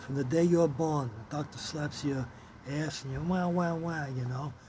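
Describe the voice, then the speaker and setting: Audible room echo and noticeable background noise surround a man speaking with a fairly high pitch. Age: 60s. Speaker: retired vlogger. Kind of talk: casual chat. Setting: outdoors. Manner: casual, profane.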